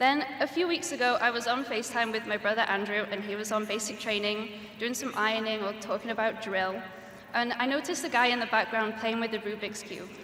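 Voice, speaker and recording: A woman with a Welsh accent talks at a fairly quick pace, with noticeable background noise and audible room echo. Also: fairly high pitch for a woman, ordinary pitch variation. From Wales. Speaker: graduating student speaker. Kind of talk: commencement speech. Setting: graduation ceremony stage with audience.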